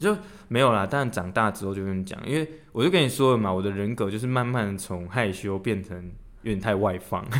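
A man talks at a fairly quick pace in a plain, everyday voice. It sits fairly low in pitch, with ordinary pitch variation. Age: 30s. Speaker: podcast co-host. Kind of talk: casual chat.

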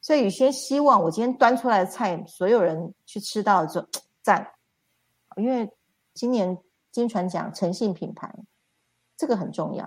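Keeping a moderate pace, a woman with medium pitch and lively intonation leaves long, frequent pauses. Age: 50s. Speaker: spiritual self-help teacher. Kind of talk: livestream lecture.

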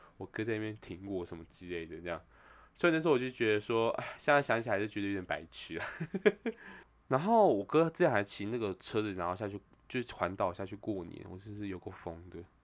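A man with a Taiwanese accent talks at a very fast pace in an animated tone, his fairly low voice making big swings in loudness. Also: very clean recording, silent background. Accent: Taiwanese Mandarin. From Taiwan, Taipei. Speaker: podcast co-host. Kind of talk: casual chat. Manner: animated, likes doing voices.

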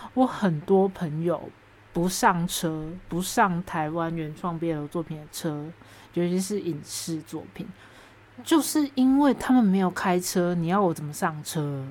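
A woman with a Taiwanese accent speaks in an animated tone with lively intonation. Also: fairly low pitch for a woman, fairly slow pace. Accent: Taiwanese Mandarin. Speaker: podcast host. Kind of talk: solo podcast monologue.

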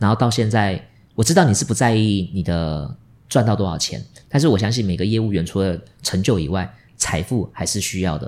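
On a very clean recording with a silent background, a man with a fairly low pitch speaks at a fairly quick pace with lively intonation. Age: middle-aged. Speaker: podcast host. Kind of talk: interview. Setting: office. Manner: animated.

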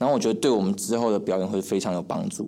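A dark, mellow tone marks this man's fairly low voice. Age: 20s. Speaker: young comedy actor. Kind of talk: casual interview chat.

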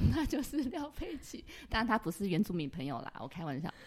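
A woman with a Taiwanese accent, animated in tone and fairly quick in pace, on a very clean recording with a silent background. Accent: Taiwanese Mandarin. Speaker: podcast host. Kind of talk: casual interview chat. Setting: office.

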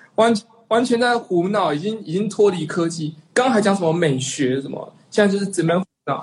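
Speaking at a fairly quick pace, a man uses lively intonation at a high pitch. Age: 30s. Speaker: animation director, online community founder. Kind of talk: casual chat.

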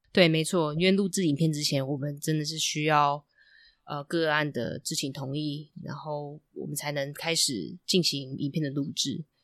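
A woman speaks at a very deep, low pitch and a moderate pace, with fairly even intonation. The background is quiet. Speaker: marriage and family therapist, podcast host. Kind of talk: casual chat.

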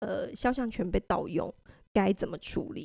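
Against a quiet background, a woman speaks at a fairly slow pace in a fairly high pitch, with vocal fry and a dark, mellow tone. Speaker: website staff editor, co-host. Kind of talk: casual chat. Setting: company studio.

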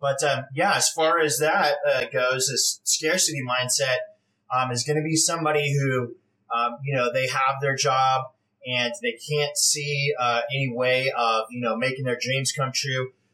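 A man's medium-pitched voice with a General American accent, fairly slow pace, very even loudness and fairly even intonation. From California. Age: 40s. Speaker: real estate investor. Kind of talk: interview. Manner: hesitant, many fillers.

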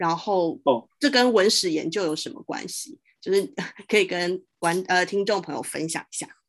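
A woman speaks at a medium pitch with lively intonation. The background is quiet. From Taiwan, Taoyuan. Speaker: podcast host. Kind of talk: interview conversation. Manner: hesitant, many fillers.

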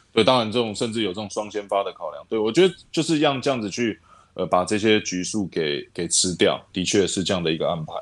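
On a very clean recording with a silent background, a man talks at a very fast pace. His pitch is fairly low, and his intonation is lively. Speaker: baseball scout and podcast co-host. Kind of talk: casual chat. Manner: halting, many fillers.

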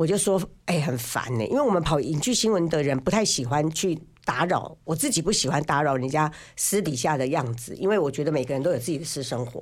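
Recorded very cleanly against a silent background, the speech moves at a fairly quick pace. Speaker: biographer and former financial journalist. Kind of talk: casual chat. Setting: studio. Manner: talkative, loud.

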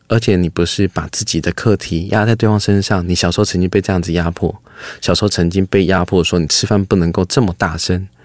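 This man's voice is very deep and low, with fairly even intonation. He talks at a fairly quick pace in a dry, close sound with no echo. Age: 30s. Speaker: foundation chairman. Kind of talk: interview. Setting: studio.

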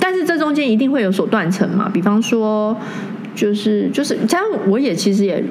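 Woman's fairly high-pitched, lively voice amid noticeable background noise and audible room echo. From Taiwan, Taoyuan. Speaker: interior designer and councillor's assistant. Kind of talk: casual interview chat.

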